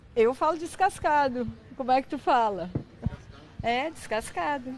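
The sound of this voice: Delivered fairly slowly, the speech carries lively intonation. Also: woman, high pitch for a woman.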